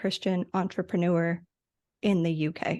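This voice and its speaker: Over a quiet background, a woman with a normal speaking voice and an American accent talks at a moderate pace and medium pitch with fairly even intonation. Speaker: podcast manager. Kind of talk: interview.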